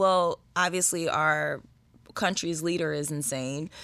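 A woman's fairly low voice, an unremarkable speaking voice with ordinary pitch variation, fairly slow, in a very clean recording with a silent background. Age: 30s. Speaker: podcast host. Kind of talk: casual chat.

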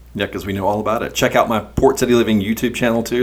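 The voice keeps fairly even intonation over noticeable background noise. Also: man. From US South, eastern North Carolina (Pender County). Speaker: podcast host and real estate agent. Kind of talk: casual chat.

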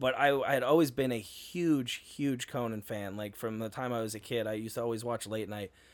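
Over a silent background in a very clean recording, a man with an ordinary speaking voice and an American accent talks at a medium pitch and a fairly quick pace, with ordinary pitch variation. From New York, Hudson Valley. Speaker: comedian. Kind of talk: casual chat.

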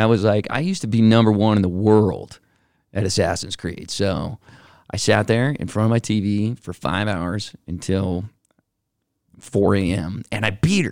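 A man speaks in a normal speaking voice with a fairly low pitch and ordinary pitch variation. His pace is moderate, and the recording is very clean with a silent background. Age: 40s. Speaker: podcast co-host. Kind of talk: casual chat.

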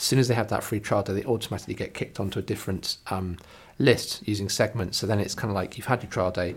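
A man with an English accent, somewhat breathy, fairly low-pitched, at a very fast pace with fairly even intonation. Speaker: coworking space owner and podcast host. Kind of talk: solo podcast monologue. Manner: casual with many fillers.

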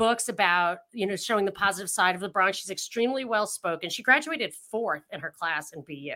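Bright and sharp in tone, a woman speaks at a fairly high pitch in a very clean recording with a silent background. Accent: slight New York. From New York, Rockland County. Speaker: political commentator. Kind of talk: casual chat.

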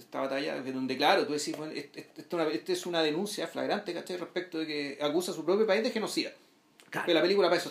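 Over noticeable background noise, someone with a Chilean accent speaks very fast with ordinary pitch variation. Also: man, high pitch for a man. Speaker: film podcast co-host. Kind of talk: casual film discussion.

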